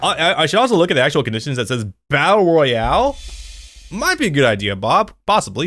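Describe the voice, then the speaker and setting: A man talks at a very fast pace in a fairly high pitch, with very wide pitch swings and vocal fry. His tone is bright and sharp, and the recording is very clean with a silent background. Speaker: gaming streamer. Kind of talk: live gameplay commentary. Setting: live stream.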